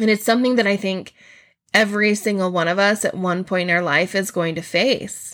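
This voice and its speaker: This woman has a normal speaking voice, pitched in the middle range. She talks at a fairly quick pace. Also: fairly even intonation. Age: 40s. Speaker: teacher / mythology podcast host. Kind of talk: educational podcast monologue.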